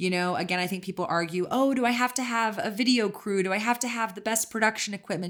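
On a very clean recording with a silent background, a woman with an American accent talks at a very fast pace. Her pitch is fairly high, with ordinary variation. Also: hardly any pauses. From Texas. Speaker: CBD company co-founder and podcast host. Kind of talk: casual interview.

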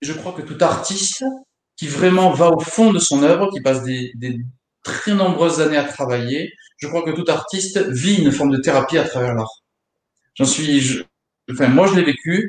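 This man's voice sits at a fairly high pitch with ordinary pitch variation, broken by long, frequent pauses. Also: moderate pace. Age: 30s. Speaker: guitar teacher. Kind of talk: casual chat. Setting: online live stream.

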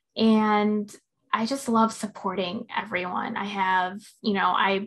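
A woman speaks in an American accent at a fairly slow pace. Her intonation is monotone and flat. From Illinois. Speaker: crafts business owner. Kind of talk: casual interview chat.

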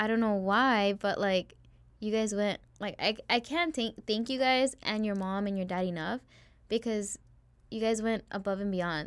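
In a very clean recording with a silent background, a woman with a normal speaking voice and a fairly high pitch talks at a moderate pace. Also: ordinary pitch variation. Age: 20s. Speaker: former client of a photography studio. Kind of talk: casual chat.

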